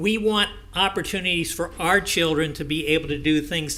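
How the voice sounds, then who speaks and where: There is noticeable background noise in the clip. Over it, a man talks at a medium tempo. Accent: American. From US South. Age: 70s. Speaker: public commenter. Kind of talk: public comment at hearing. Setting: public meeting.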